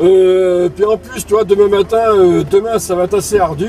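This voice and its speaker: Very slow speech comes through a dry sound with no echo and light background noise. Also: man. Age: 50s. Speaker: CB radio operator. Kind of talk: casual radio chat. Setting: CB radio transmission, in a car. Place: car.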